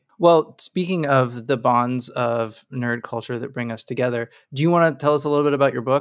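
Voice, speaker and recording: The speech is fairly quick, in an unremarkable speaking voice. Behind it the background is silent, in a very clean recording. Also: man. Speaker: podcast host. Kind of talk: casual chat.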